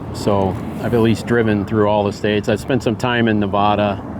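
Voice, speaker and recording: A man with an American accent speaks fairly quickly in a fairly low, monotone voice with flat intonation, over noticeable background noise. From US Midwest. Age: 60s. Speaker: retirement vlogger. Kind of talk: personal vlog monologue. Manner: casual, hesitant with repetitions.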